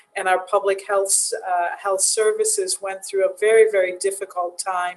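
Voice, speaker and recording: Over noticeable background noise, a woman speaks in a monotone, flat intonation with an American accent. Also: medium pitch for a woman, moderate pace. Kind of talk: panel discussion.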